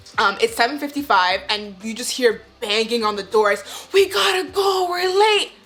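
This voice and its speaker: Loud and animated, a woman speaks at a high pitch with very wide pitch swings. Her pace is moderate, and there is noticeable background noise. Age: 20s. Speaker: nursing student vlogger. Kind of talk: casual advice vlog.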